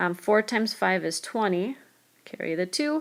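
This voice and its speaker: In a plain, everyday voice, a woman talks at medium pitch and a moderate pace. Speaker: math teacher. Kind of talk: tutorial.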